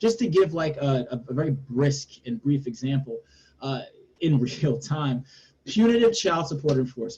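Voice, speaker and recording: This man has a fairly high pitch and a dark, mellow tone. His delivery is somewhat breathy, with lively intonation. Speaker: policy advocate. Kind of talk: webinar panel discussion. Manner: fast; hesitant, many fillers.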